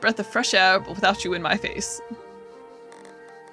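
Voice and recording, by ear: In a natural voice, someone reads aloud, the intonation staying fairly even.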